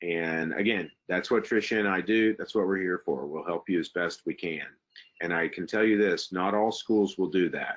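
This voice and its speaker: With a Southern US accent, a man speaks at a moderate pace in a very deep, low pitch and fairly even intonation. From US South, Texas. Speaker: university international admissions administrator. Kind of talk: webinar presentation with Q&A. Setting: online webinar. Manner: hesitant, many fillers.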